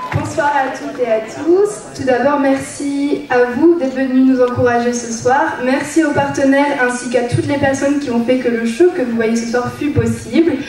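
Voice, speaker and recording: With hardly any pauses, a woman talks at a moderate pace in a high voice with fairly even intonation, audible room echo and noticeable background noise around her. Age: 20s. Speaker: beauty pageant contestant. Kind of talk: prepared speech on stage. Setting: stage with audience.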